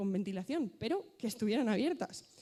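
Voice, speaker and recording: Her tone is dark and mellow. This woman talks fairly quickly. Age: 20s. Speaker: student representative. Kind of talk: conference talk. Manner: fast.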